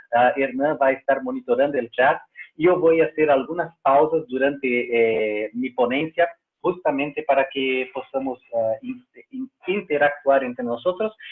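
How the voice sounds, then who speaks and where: A man's fairly high-pitched voice with a Portuguese accent, moderate pace and ordinary pitch variation. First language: Portuguese (speaking Spanish). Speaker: trainer, open source community director. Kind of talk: webinar presentation. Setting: online webinar. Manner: hesitant, many fillers.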